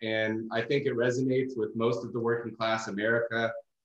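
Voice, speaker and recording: Audible room echo surrounds a man's voice. He speaks at medium pitch with monotone, flat intonation. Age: 30s. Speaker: coating company owner and detailer. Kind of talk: casual interview chat.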